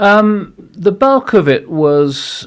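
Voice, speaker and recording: The man's pitch swings very widely as he talks. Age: 60s. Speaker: social psychologist and author. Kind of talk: podcast interview. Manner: halting, many restarts.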